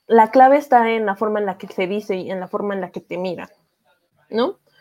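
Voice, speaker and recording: Speaking with a Mexican accent, a woman uses a fairly high pitch with ordinary variation and keeps a moderate pace. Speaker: podcast host. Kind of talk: casual chat.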